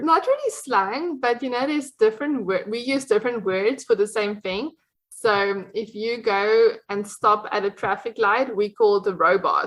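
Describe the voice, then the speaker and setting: The speaker has a South African accent and talks at a moderate pace with ordinary pitch variation and hardly any pauses. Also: woman, fairly high pitch for a woman. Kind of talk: podcast interview answer.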